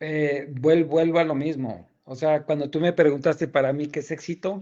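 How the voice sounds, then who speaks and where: A man talks in an ordinary speaking voice at a fairly high pitch. His pace is moderate and the background is quiet. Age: 60s. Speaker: chemical engineer, debater. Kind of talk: debate.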